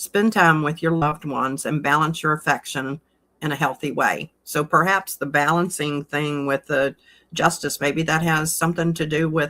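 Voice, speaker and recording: A woman with a Southern US accent speaks in a very deep, low pitch with a bright, sharp tone and monotone, flat intonation, on a very clean recording with a silent background. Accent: Southern US drawl. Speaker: card reader. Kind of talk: tarot card reading. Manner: soft-spoken; halting.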